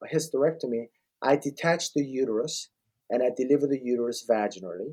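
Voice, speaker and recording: Fairly quick speech from a man, fairly high in pitch, dark and mellow in tone, with ordinary pitch variation. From Korea. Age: 60s. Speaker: ob-gyn surgeon. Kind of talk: podcast interview.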